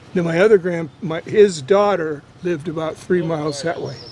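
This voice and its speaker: A man with an American accent and a high pitch, fairly slow and fairly even in intonation, over noticeable background noise. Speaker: local old-timer from the area. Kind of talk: casual chat.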